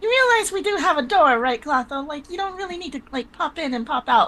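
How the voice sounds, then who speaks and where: Using a squeaky put-on character voice, a woman talks at a fairly quick pace in a high pitch with very wide pitch swings. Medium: actual play. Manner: casual, warm.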